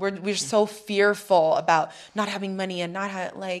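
At a fairly slow pace, a woman with a medium pitch speaks with fairly even intonation. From US, military family (Hawaii, Arizona, Chicago). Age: 30s. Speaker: TV host. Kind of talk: interview conversation.

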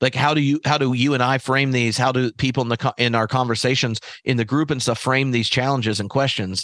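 Very fast speech with hardly any pauses. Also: man, medium pitch for a man, quiet background. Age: 40s. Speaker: theologian and podcast host. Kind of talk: casual chat. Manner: animated.

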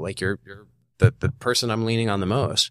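A man talks at a very fast pace with an American accent and vocal fry. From Virginia, US. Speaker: former prisoner. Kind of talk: interview.

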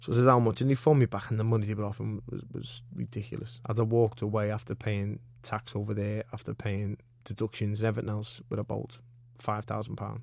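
A man with a Liverpool accent talks very fast in a fairly low, monotone voice with flat intonation, on a very clean recording with a silent background. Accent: Scouse. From Liverpool, England. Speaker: professional boxer. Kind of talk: casual interview.

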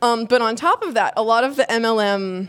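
Fairly high-pitched, a woman talks with ordinary pitch variation in an unremarkable speaking voice. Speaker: podcast finalist. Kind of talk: stage Q&A. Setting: stage with audience.

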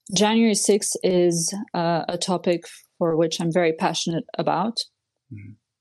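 With a French accent, a woman speaks at a moderate pace and fairly even intonation. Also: fairly low pitch for a woman, big swings in loudness. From Switzerland. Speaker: political commentator. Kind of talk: interview. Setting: remote call.

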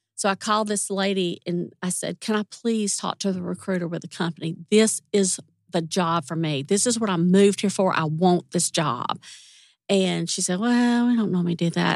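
In a Southern US accent, a woman speaks at a medium pitch in a dry, close sound with no echo. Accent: Southern US drawl. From US South, Mississippi. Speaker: retired music industry executive assistant. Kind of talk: casual interview chat. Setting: studio.

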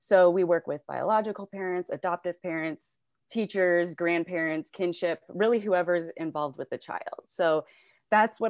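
A normal speaking voice moves at a moderate pace with ordinary pitch variation, dry and close with no echo over a quiet background. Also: woman. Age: 30s. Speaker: behavioral health worker. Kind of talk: casual interview chat.

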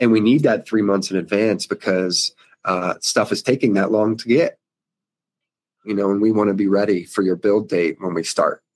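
Fairly low male voice at a moderate pace, with fairly even intonation and a dry, close sound with no echo. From US East Coast. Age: 30s. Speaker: van conversion business owner. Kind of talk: interview. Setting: video call.

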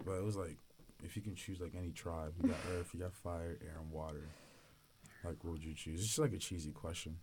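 This man's voice sits very deep and low and sounds somewhat breathy. He talks at a fairly quick pace with ordinary pitch variation. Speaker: student podcast co-host, college football player. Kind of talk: casual chat.

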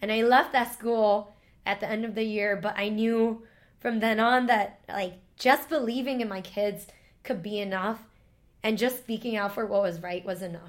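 With an American accent, a woman speaks at a moderate pace and fairly high pitch with fairly even intonation, in an unremarkable speaking voice. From New York City, Chinatown / Lower East Side. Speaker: storyteller and teacher. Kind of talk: casual chat.

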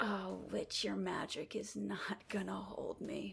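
Over light background noise, a put-on character voice moves at a fairly slow pace. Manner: menacing.

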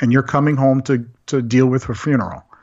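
Here a man with an American accent speaks at a medium pitch in a plain, everyday voice. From Central Florida. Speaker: graphic designer and game master. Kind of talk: casual interview.

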